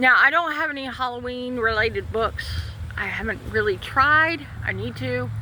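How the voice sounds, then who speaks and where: With a Southern US accent, a woman speaks at a moderate pace amid noticeable background noise and audible room echo. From Florida, Citrus County. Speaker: author and book vlogger. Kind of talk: casual chat. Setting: outdoors.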